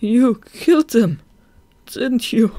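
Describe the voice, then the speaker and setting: A woman puts on a croaky character voice with a fairly high pitch. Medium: read story.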